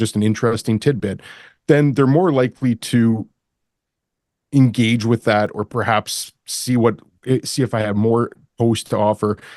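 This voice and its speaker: A man with a Canadian accent and an unremarkable speaking voice, at medium pitch with ordinary pitch variation, in a dry, close sound with no echo against a quiet background. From Canada. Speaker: commercial real estate broker. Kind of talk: podcast interview.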